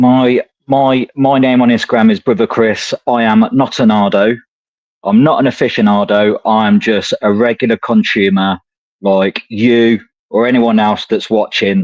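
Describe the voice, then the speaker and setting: A man with an English accent, fairly slow in pace and very even in loudness. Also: medium pitch for a man, ordinary pitch variation. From England, Coventry (Midlands). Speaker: cigar enthusiast. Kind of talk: casual chat.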